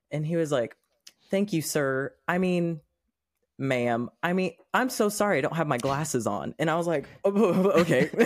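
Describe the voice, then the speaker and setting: A plain, everyday voice from a man, fairly high in pitch, at a moderate pace with lively intonation, on a very clean recording with a silent background. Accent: American. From Oklahoma. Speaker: podcast guest sharing personal experience. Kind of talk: casual chat.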